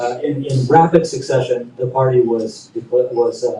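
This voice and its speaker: A man speaks in a flat monotone at a medium pitch. His tone is dark and mellow, and somewhat breathy. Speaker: panelist at a human rights conference. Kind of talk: conference panel presentation. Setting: conference room with audience and translator. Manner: fast.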